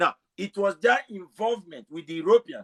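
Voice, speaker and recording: The sound is dry and close with no echo as a man speaks in a high pitch with lively intonation. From Africa. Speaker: self-described historian. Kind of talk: heated debate. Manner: fast.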